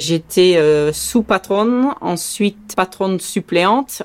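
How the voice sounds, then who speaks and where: A woman speaks with ordinary pitch variation. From Saint-Martin, Caribbean. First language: Dutch (speaking French). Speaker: sea rescue volunteer and boat skipper. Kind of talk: testimony.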